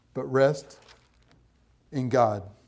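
Audible room echo surrounds a man whose medium-pitched voice has a dark, mellow tone. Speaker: missionary. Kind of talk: sermon.

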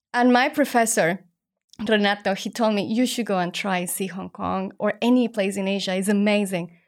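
A woman with a Spanish accent talks at a moderate pace in a fairly high voice with ordinary pitch variation, recorded very cleanly against a silent background. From Mexico. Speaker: startup founder and former ballerina. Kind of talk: interview.

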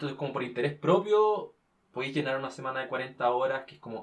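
Here a man of medium pitch speaks with an unremarkable speaking voice and ordinary pitch variation. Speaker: university student. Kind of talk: casual chat.

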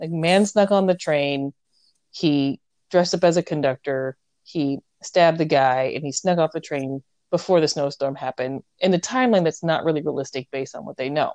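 A woman with an American accent speaks at a moderate pace in a very deep, low pitch with ordinary pitch variation and big swings in loudness. The sound is dry and close with no echo. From United States. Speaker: podcast co-host. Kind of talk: casual chat.

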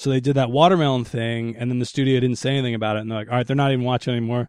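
This man's medium-pitched voice moves with fairly even intonation. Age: 30s. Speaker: stand-up comedian. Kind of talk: casual chat.

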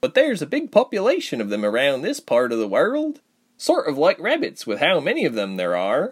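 A put-on character voice from a man, high in pitch, at a fairly quick pace. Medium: audio drama. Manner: easygoing, happy, chatty.

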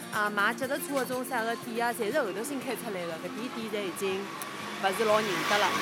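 In a Shanghai accent, a woman with a fairly high pitch talks fairly quickly with hardly any pauses, amid audible room echo and music in the background. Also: ordinary pitch variation. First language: Shanghainese (speaking Chinese). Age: 30s. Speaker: local resident. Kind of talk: walking tour recollection. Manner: halting.

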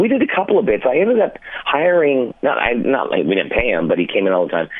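A man talks at a very fast pace with a Canadian accent. Noticeable background noise runs underneath. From Ontario, Canada (London). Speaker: radio morning host. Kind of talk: casual interview chat.

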